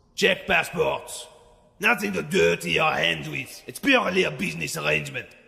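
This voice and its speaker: A man's raspy, put-on character voice at a moderate pace. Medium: read story. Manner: gruff, curt, domineering.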